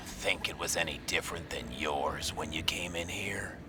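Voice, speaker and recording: Someone whispers in a put-on character voice. Loud background noise runs underneath. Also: man, moderate pace. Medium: solo performance. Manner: smug, taunting.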